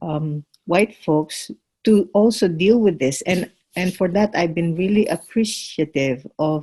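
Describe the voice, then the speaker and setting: A somewhat breathy woman's voice, fairly low in pitch, with a dark, mellow tone, ordinary pitch variation and a fairly slow pace. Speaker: course participant. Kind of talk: group discussion. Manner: halting, many fillers.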